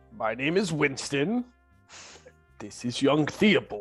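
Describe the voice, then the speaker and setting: A put-on character voice at a low-to-middle pitch and a fairly slow pace, with faint music in the background. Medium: actual play. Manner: hesitant, polite.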